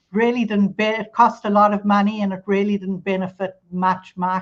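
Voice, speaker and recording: At a moderate pace, a woman with a South African accent talks in a monotone, flat intonation. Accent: South African, noticeable. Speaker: immigration attorney. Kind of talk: podcast interview. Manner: conversational, with fillers.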